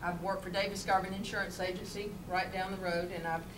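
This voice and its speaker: There is noticeable background noise as a woman speaks at a fairly quick pace. Her intonation is monotone and flat. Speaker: candidate. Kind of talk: campaign speech. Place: meeting room. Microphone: camera far.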